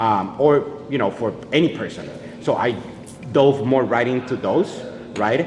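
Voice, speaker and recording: Noticeable background noise sits behind a man speaking at a medium pitch. He keeps a moderate pace with ordinary pitch variation. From Colombia. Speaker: head bartender. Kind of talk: interview, explaining cocktails. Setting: hotel bar. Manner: loud.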